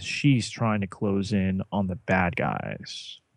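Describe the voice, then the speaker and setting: Against a quiet background, a man with a slight New Jersey accent and fairly low pitch talks very slowly with fairly even intonation. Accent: New Jersey American, slight. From New Jersey, US. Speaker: podcast co-host. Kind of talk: casual podcast discussion. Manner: halting, many fillers.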